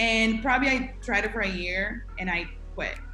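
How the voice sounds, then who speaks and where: Lively intonation in a Spanish accent. Noticeable background noise sits behind the voice. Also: woman. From Guatemala (Jalapa). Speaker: accountant and business founder. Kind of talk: interview. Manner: halting.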